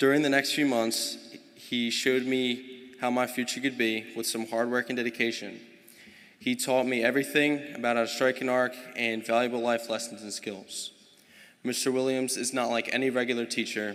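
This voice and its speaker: Medium pitch from a man with an American accent, in a monotone, flat intonation. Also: moderate pace. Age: young. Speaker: welder. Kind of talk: prepared speech.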